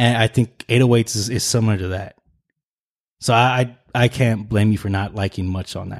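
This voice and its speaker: In a very clean recording with a silent background and a dry, close sound with no echo, a man talks at a moderate pace with an unremarkable speaking voice, medium pitch and fairly even intonation. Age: 20s. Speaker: podcast host. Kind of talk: casual chat.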